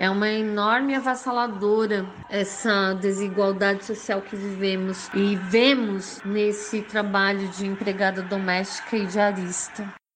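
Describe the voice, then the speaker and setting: Through audible room echo and noticeable background noise, a woman of medium pitch speaks at a fairly slow pace with monotone, flat intonation and hardly any pauses. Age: 40s. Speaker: domestic worker. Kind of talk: personal testimony.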